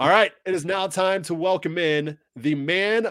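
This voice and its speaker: A man talks at a very slow pace. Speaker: podcast host. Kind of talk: casual podcast chat.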